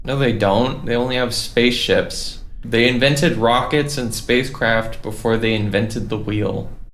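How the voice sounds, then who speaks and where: A man talks at a medium pitch with fairly even intonation and hardly any pauses. Audible room echo and noticeable background noise are present. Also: moderate pace. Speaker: gaming youtuber. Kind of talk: gameplay commentary. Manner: casual, filler-heavy.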